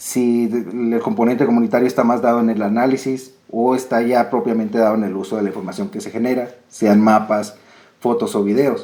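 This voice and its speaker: Moderately paced, a man speaks at a medium pitch with ordinary pitch variation. His tone is dark and mellow. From Colombia. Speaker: researcher, geographer. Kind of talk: academic presentation. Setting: video call.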